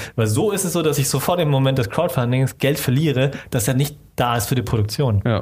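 A man at medium pitch and a fairly quick pace, with ordinary pitch variation, very even loudness and hardly any pauses, over noticeable background noise. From Germany, Stuttgart area (Swabia), Vietnamese family. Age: 30s. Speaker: filmmaker. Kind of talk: casual interview.

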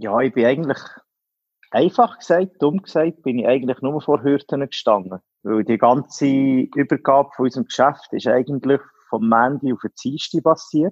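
A man talks with ordinary pitch variation in a plain, everyday voice, the sound dry and close with no echo. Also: medium pitch for a man, moderate pace. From Switzerland, canton Solothurn. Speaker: business owner. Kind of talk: interview. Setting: phone call.

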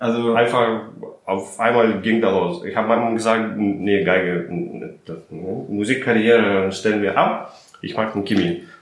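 A man with a Russian accent talks at a fairly slow pace in a fairly low pitch, with ordinary pitch variation. The room has audible echo and there is noticeable background noise. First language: Russian (speaking German). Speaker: chemist and company founder. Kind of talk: interview.

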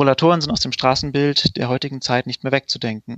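A man talks in a normal speaking voice at a medium pitch and a fairly quick pace, with ordinary pitch variation. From Allgäu, southern Germany. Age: 30s. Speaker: startup founder. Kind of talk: sales pitch.

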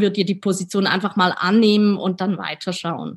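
A woman speaks at a moderate pace with medium pitch in a flat, monotone way. Her voice is somewhat breathy, and the recording is very clean with a silent background. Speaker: editor-in-chief. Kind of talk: interview. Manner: hesitant, many fillers.

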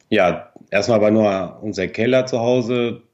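A man with a Spanish accent at a very slow pace. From Argentina. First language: Spanish (speaking German). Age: 30s. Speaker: yarn company owner. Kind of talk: interview. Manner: halting.

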